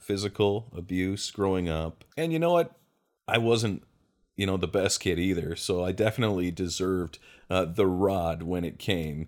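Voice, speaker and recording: A man has a plain, everyday voice, fairly low in pitch, at a moderate pace. The recording is very clean, with a silent background. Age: 40s. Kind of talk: personal monologue, testimony. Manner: casual, with frequent fillers.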